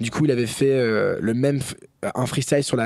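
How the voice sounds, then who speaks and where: A man speaks with fairly even intonation. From grew up abroad: China, India, Japan, Germany. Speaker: singer. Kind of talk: casual chat. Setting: studio.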